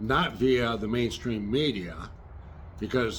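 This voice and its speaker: A man talks at a medium pitch, with room echo audible around him. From Michigan, US Midwest. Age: 60s. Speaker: retired air force veteran and small engine repair youtuber. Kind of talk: political commentary monologue.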